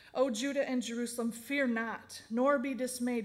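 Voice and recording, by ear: Speaking at a fairly slow pace, a woman with a fairly high pitch is heard with audible room echo.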